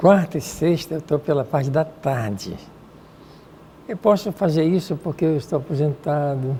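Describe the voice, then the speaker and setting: A man with a fairly high pitch and a dark, mellow tone speaks with ordinary pitch variation. He leaves long, frequent pauses. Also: moderate pace. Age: 80s+. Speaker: retired priest and parapsychologist. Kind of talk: TV interview.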